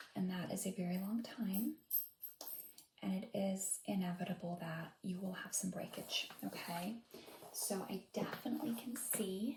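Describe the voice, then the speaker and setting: Soft-spoken and gentle in tone, a woman talks at a medium pitch with ordinary pitch variation. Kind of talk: ASMR role-play hair consultation. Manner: soft-spoken, gentle.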